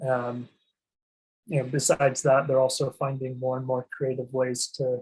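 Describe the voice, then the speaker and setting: Somewhat breathy and medium in pitch, this man speaks at a fairly slow pace with long, frequent pauses and a monotone, flat intonation. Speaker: asset protection and tax planning advisor. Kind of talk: webinar presentation. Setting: online webinar. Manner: hesitant, many fillers and restarts.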